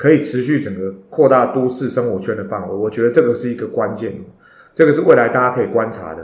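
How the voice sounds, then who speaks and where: Audible room echo surrounds a man speaking in a Taiwanese accent with ordinary pitch variation. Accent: Taiwanese Mandarin. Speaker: real estate agent and podcast host. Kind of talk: podcast monologue. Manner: many hesitation fillers.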